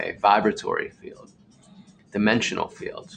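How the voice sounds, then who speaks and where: Music in the background behind a man's moderately paced speech. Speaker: artist streaming from his studio. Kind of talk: casual live stream talk while painting. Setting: home art studio, live stream. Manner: halting, self-corrects.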